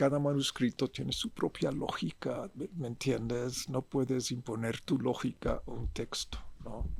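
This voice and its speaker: Speaking at a fairly slow pace with hardly any pauses, a man of medium pitch shows vocal fry and ordinary pitch variation. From US, military bases in US and Europe. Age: 70s. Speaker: visual artist. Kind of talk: interview. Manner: halting.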